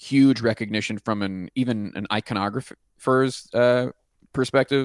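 A man with an American accent and a normal speaking voice, medium pitch, ordinary pitch variation, a fairly slow pace, and a dry, close sound with no echo. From Pittsburgh, US. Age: 30s. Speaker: rock music podcast host. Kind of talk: casual chat.

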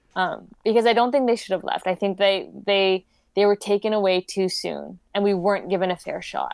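A woman speaks with a Canadian accent in a normal speaking voice, her pitch medium. Her intonation stays fairly even at a moderate pace. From Vancouver, Canada. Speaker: documentary filmmaker. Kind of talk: casual interview.

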